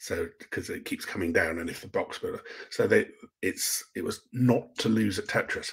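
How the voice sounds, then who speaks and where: A man with an English accent at a moderate pace, against a quiet background. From England. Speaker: science fiction author; guest. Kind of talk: casual interview. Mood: relaxed, thoughtful. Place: home room.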